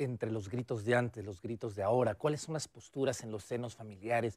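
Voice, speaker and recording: The man's intonation stays fairly even. Behind him, things are quiet. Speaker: TV presenter. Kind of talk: theater recommendation segment to camera. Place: studio.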